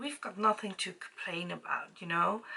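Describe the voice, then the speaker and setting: A woman with a Dutch accent, at a fairly slow pace. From Netherlands. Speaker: beauty vlogger. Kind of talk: casual chat while doing makeup. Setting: home with ring light. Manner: halting.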